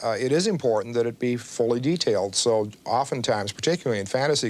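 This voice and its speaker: At a fairly quick pace, a man talks in a plain, everyday voice at medium pitch. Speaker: game designer. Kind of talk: interview answer.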